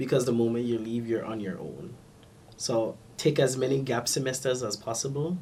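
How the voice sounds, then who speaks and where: A man's dark, mellow, somewhat breathy voice, with ordinary pitch variation and a moderate pace. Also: medium pitch for a man. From Kingston, Jamaica. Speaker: Harvard student, aspiring human rights lawyer. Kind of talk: interview answer.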